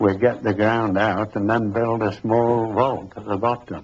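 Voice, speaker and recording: A man speaks at a very slow pace and a medium pitch. His intonation is monotone and flat. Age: 70s. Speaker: estate builder. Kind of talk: interview testimony.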